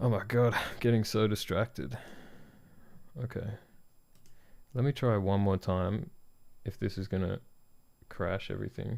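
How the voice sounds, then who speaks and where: A man with an Australian accent, fairly low in pitch, with ordinary pitch variation, a moderate pace and long, frequent pauses, on a very clean recording with a silent background. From Australia (country Victoria, near Melbourne). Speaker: product designer streaming design work. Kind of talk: live stream, casual chat while working.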